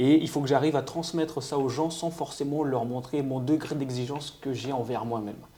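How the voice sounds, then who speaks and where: Barely pausing, a man with a fairly high pitch and fairly even intonation speaks over noticeable background noise. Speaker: nutritionist and amateur bodybuilder. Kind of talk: podcast interview. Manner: hesitant, repeats words.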